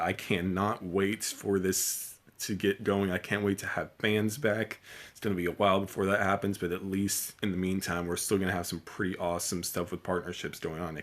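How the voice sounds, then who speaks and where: A man uses a put-on character voice that is raspy and very deep, at a fairly quick pace. The recording is very clean, with a silent background. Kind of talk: casual, enthusiastic commentary. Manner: fast and excited.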